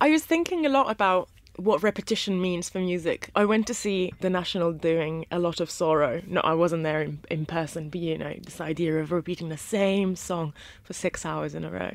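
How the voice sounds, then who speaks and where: Talking at a fairly quick pace, a woman speaks with a fairly low pitch. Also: ordinary pitch variation. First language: not English. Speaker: music journalist. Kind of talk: interview. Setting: studio.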